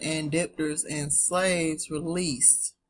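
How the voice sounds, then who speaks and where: Her voice is somewhat breathy and fairly low in pitch. The woman speaks with a Southern US accent. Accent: southern twang. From US South. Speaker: online teacher. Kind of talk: casual teaching talk with reading aloud. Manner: casual, chatty.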